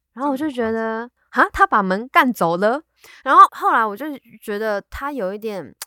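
With a bright, sharp tone and fairly high pitch, a woman speaks at a moderate pace with lively intonation and big swings in loudness, in a dry, close sound with no echo. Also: very clean recording, silent background. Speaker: podcast co-host. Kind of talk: casual chat.

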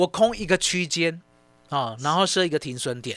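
This man speaks at a fairly quick pace with lively intonation and a bright, sharp tone, in a dry, close sound with no echo. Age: 50s. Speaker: stock market analyst. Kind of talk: radio market commentary.

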